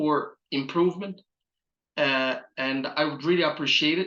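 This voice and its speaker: A man with an Egyptian accent speaks at a fairly slow pace in a fairly high, bright, sharp voice with ordinary pitch variation. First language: Arabic. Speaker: pathology resident preparing for boards. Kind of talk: channel introduction talk. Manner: hesitant with many filler uhs.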